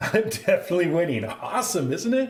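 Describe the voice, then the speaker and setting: A man talks with an American accent, lively intonation and an animated tone, somewhat breathy. His voice carries audible room echo. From northern Minnesota. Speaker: pinball streamer. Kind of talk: live stream gameplay commentary. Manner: casual, animated.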